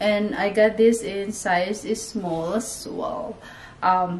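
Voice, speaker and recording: Over light background noise, a woman talks at a very slow pace with fairly even intonation. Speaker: fashion vlogger. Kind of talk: casual try-on haul chat. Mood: cheerful, laughing often. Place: home room. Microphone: camera far.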